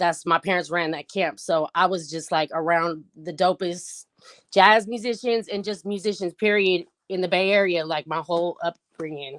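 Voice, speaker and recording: With an American accent, a woman with a fairly low pitch uses a normal speaking voice and fairly even intonation, the sound dry and close with no echo. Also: moderate pace. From US West Coast, San Francisco. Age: 40s. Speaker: rapper. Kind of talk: interview.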